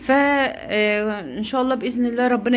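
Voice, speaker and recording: A woman with an Egyptian accent speaks at a moderate pace, her pitch high with ordinary variation. The recording carries audible room echo. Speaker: poultry-raising vlogger. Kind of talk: casual vlog.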